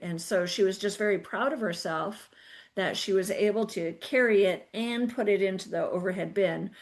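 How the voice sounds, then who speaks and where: A woman at a medium pitch and a moderate pace. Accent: slight Canadian. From Canada. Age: 50s. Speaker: podcast host and personal trainer. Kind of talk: casual chat. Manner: animated.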